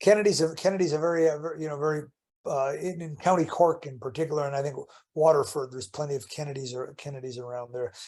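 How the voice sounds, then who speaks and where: Talking at a very fast pace, a man with an American accent has a fairly high pitch and a dark, mellow tone. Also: ordinary pitch variation, big swings in loudness. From Chicago, US Midwest. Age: 60s. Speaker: author and basketball analyst. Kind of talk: casual interview chat. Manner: halting, many repetitions and restarts.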